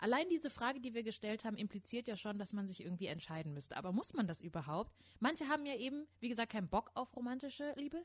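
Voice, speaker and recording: A woman's animated tone at a very fast pace, with hardly any pauses and very wide pitch swings. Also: fairly high pitch for a woman. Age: 30s. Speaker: podcast co-host. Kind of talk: casual chat; scripted narration.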